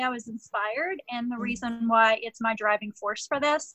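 Against a quiet background, a woman speaks at a moderate pace in a high pitch, with a bright, sharp tone and ordinary pitch variation. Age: 40s. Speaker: life transformation coach. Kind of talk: interview. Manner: animated.

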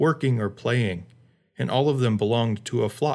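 Someone reads in a natural voice. The pitch rises and falls in an ordinary way.

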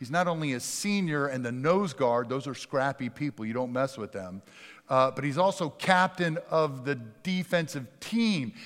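A man with an unremarkable speaking voice, fairly high in pitch, with lively intonation and a moderate pace. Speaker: pastor. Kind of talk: sermon. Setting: church.

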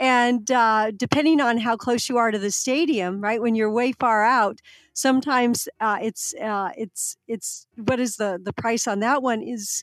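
On a very clean recording with a silent background, a woman with an unremarkable speaking voice talks at a fairly high pitch with ordinary pitch variation, the sound dry and close with no echo. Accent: American. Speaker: podcast host. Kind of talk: casual business podcast discussion.

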